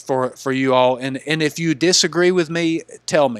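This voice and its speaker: In a Southern US accent, a man speaks at a moderate pace and fairly high pitch with ordinary pitch variation. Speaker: gaming YouTuber. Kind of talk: casual video commentary. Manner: halting, many repeated words.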